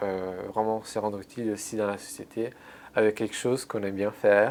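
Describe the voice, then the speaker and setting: Speaking with an Italian accent, a man holds a moderate pace at a fairly low pitch. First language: Italian (speaking French). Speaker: translator, former intern. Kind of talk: interview. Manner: halting, many fillers and repetitions.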